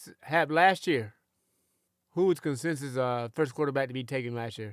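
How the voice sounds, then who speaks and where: A man's medium-pitched voice with ordinary pitch variation, very cleanly recorded against a silent background, the sound dry and close with no echo. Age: 60s. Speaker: sports radio host. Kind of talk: casual chat. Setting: studio.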